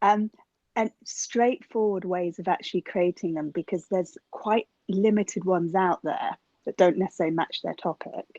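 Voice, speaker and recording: In a dry, close recording with no echo, a woman speaks at a medium pitch and a moderate pace, her dark, mellow tone carrying fairly even intonation. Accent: British. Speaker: school teacher. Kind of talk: audience question.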